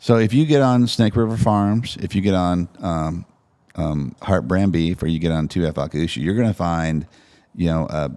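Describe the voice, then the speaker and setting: Very deep and low, this man's voice has a dark, mellow tone and lively intonation at a moderate pace. The recording is very clean, with a silent background. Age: 50s. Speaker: cattle rancher. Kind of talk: casual podcast chat.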